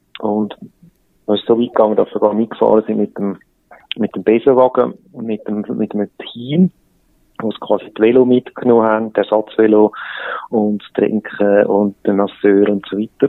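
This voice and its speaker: A man's loudness swings big as he talks at a moderate pace. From Switzerland, Eglisau (canton of Zurich). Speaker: entrepreneur, trained graphic designer. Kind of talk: interview.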